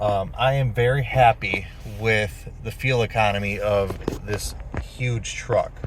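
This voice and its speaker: A man speaks at a very slow pace with an American accent. Noticeable background noise is present. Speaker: truck owner giving a vehicle review. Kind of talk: off-the-cuff vehicle review while driving. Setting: in a truck while driving. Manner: halting, many fillers and self-corrections.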